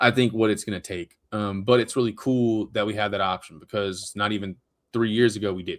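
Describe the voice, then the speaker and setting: A man speaks at a fairly quick pace in a fairly low pitch. His intonation is monotone and flat. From Louisiana (Woodworth, near Alexandria). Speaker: comic book writer and creator. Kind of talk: casual chat. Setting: live stream.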